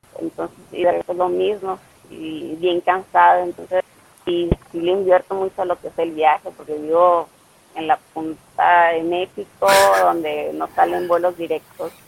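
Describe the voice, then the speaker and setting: The recording is dry and close, with no echo but noticeable background noise. A woman speaks fairly slowly. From Mexico, Ciudad Obregón, Sonora. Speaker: CrossFit athlete. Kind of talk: casual interview.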